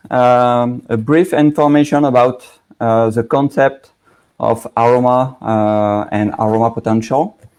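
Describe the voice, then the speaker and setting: A man with a medium-pitched voice talks fairly slowly, his pitch rising and falling in an ordinary way. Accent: strong French. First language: French. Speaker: aroma chemistry expert, company founder. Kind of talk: technical presentation. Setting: live online broadcast.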